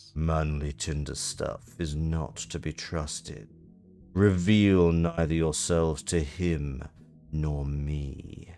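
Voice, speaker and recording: Over faint background music, a man puts on a character voice with a very deep, low pitch, speaking at a very slow pace with fairly even intonation. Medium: game stream. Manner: formal, clipped, austere.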